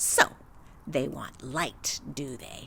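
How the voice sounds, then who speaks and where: Someone speaks in a put-on character voice against clear background noise. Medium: read story. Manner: blunt, imperious.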